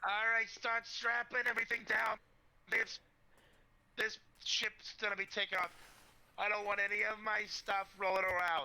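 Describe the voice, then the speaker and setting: A put-on character voice, raspy and fairly high, moves at a moderate pace with long, frequent pauses. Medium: actual play.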